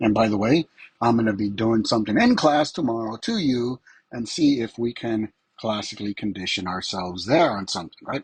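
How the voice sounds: Fairly low in pitch with a slightly husky edge, a man talks at a moderate pace.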